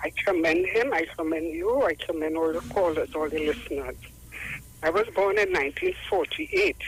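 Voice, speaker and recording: Her tempo is moderate. Background noise is noticeable throughout. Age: 70s. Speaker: caller. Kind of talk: call-in comment.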